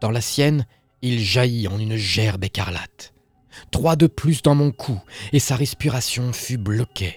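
Music plays behind a man speaking at medium pitch. The sound is dry and close with no echo. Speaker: horror story narrator. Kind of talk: horror story narration read aloud.

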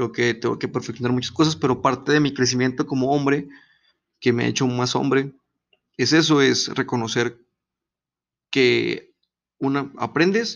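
A man with a Mexican accent speaks at a medium pitch and moderate pace. His intonation is fairly even, with vocal fry. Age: 20s. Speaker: podcast host. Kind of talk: casual monologue.

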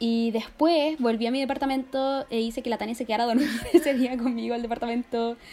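A woman with a Chilean accent talks at a very fast pace in a high voice, her intonation fairly even, over noticeable background noise. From Chile, Talca. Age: 20s. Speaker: journalism student. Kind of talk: casual chat.

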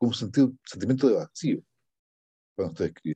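A man speaks in a dark, mellow tone with vocal fry. The sound is dry and close, with no echo. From Chile, La Serena. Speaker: poet. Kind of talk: interview. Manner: halting.

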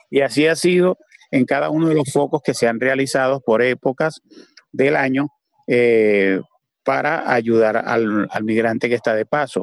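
Recorded with a dry, close sound and no echo, a man speaks fairly slowly in a plain, everyday voice at a medium pitch, with very even loudness and ordinary pitch variation. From Venezuela. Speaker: community leader. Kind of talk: panel discussion.

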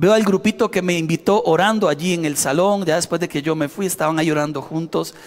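In a Costa Rican accent, a man with a high-pitched voice speaks with lively intonation. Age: 40s. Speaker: pastor. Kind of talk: sermon.

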